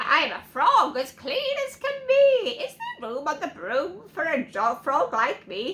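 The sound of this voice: Croaky and high-pitched, a put-on character voice moves at a fairly slow pace.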